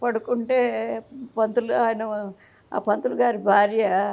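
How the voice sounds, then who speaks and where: A woman's dark, mellow tone. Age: 80s+. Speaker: elderly interviewee. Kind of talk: interview storytelling.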